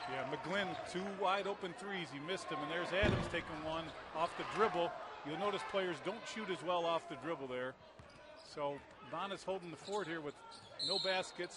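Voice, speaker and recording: A man's high-pitched voice with ordinary pitch variation at a moderate pace, over noticeable background noise. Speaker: color commentator, analyst. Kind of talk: live sports commentary, analyst color talk. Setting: arena broadcast. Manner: conversational, explanatory, measured, informal analyst.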